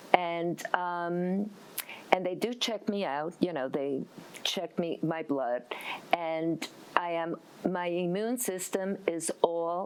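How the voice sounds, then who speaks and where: Very slowly and with long, frequent pauses, a woman with a fairly low pitch speaks with ordinary pitch variation. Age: 60s. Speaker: stem cell transplant survivor. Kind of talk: testimony.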